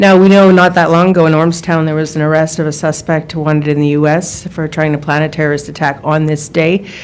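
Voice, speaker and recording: A woman with a very deep, low pitch speaks at a very fast pace with fairly even intonation, amid noticeable background noise and audible room echo. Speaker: journalist. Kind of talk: press conference questions. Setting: press conference.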